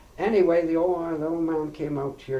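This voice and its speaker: With audible room echo around him, a man speaks at a moderate pace in a western Canadian accent. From Princeton, BC, Canada. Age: 70s. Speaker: oral history interviewee. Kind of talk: oral history interview. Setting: farmhouse. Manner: halting.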